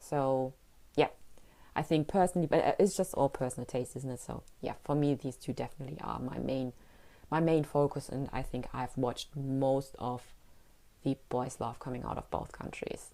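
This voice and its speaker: A woman's very deep, low voice with a dark, mellow tone, fairly even intonation and a moderate pace. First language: German. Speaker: podcaster. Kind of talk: casual monologue.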